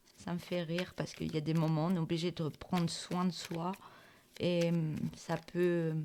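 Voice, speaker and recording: In a flat monotone, a woman with a fairly low, dark, mellow voice speaks at a moderate pace. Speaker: tarot reader. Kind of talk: tarot reading. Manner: hesitant, many fillers.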